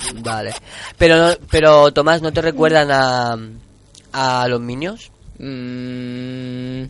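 Very slow speech from a man, medium in pitch, with fairly even intonation. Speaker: radio host. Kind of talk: live radio talk with young participants.

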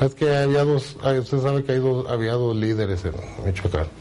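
Noticeable background noise sits behind this man. His medium-pitched voice has lively intonation. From Mexico, Guadalajara, Jalisco. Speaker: former cartel member. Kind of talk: interview testimony.

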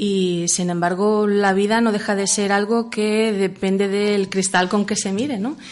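A woman speaks in an ordinary speaking voice at a medium pitch. Her pace is fairly slow and her intonation fairly even. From Catalonia, Manresa. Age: 40s. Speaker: author. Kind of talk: radio interview. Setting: radio studio.

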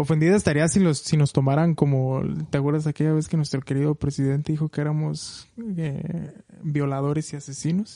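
A fairly quick, monotone, flat delivery in a dark, mellow tone with a Mexican accent. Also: man, fairly high pitch for a man. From Mexico, Michoacán. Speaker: film podcast co-host. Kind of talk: casual chat.

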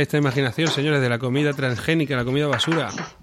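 The speech runs at a very fast pace with fairly even intonation, and noticeable background noise sits behind it. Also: man. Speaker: podcast co-host. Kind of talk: casual chat; improvised sketch interview.

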